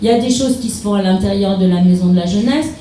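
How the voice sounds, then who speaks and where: The recording features a woman's voice. Room echo is audible, and background noise is noticeable. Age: 60s. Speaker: mayor running for re-election. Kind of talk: public meeting speech answering questions. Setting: town hall public meeting. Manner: hesitant, many fillers.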